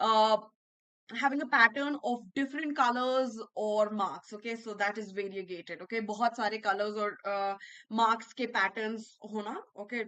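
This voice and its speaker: Bright and sharp in tone, a woman with a Bihar accent speaks at a moderate pace and fairly high pitch, with ordinary pitch variation. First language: Bhojpuri. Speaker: English educator. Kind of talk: online class lecture. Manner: repetitive, code-switching Hindi-English.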